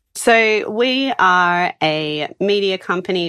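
Over a quiet background, a woman with an Australian accent speaks with ordinary pitch variation. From Australia, Sydney. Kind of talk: casual interview.

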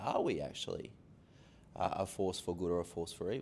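A man with a very deep, low pitch at a fairly quick pace. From Sydney, Australia. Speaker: pastor. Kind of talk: interview talk. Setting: stage with live audience. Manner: hesitant, filler-heavy.

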